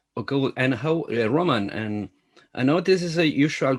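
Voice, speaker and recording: On a very clean recording with a silent background, the speaker talks at a fairly slow pace with lively intonation and a Spanish accent. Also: man. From Latin America. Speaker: film journalist. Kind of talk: interview. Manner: halting.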